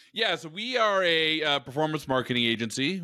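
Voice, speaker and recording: A man talks at a moderate pace in a normal speaking voice with ordinary pitch variation. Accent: American. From Oregon, US. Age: 30s. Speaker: e-commerce marketing executive. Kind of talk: casual interview.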